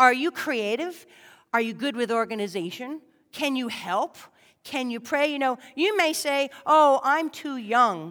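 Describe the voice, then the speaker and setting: A woman talks at a fairly slow pace with lively intonation and a high pitch. The recording is very clean, with a silent background. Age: 40s. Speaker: lay preacher. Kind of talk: sermon. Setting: church.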